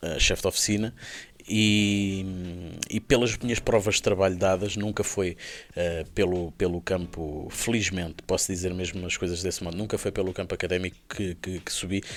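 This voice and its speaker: A man with a Lisbon accent speaks in a very deep, low voice at a moderate pace. His intonation is fairly even, and the recording is very clean with a silent background. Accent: European Portuguese, Lisbon. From Portugal. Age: 30s. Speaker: motorcycle dealership founder. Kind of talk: podcast interview. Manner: hesitant, many fillers and repetitions.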